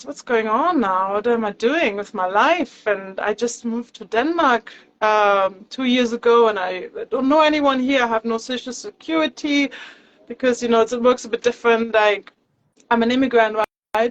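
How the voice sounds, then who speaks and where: In a German accent, a woman speaks with a high pitch. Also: ordinary pitch variation, moderate pace, dry, close sound with no echo. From Germany. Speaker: yoga teacher. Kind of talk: interview. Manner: hesitant, with many fillers.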